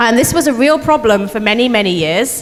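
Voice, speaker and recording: A woman with a British accent speaks at a fairly quick pace. Her pitch is fairly high, and there is noticeable background noise. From United Kingdom. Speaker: astronomer. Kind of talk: public science talk.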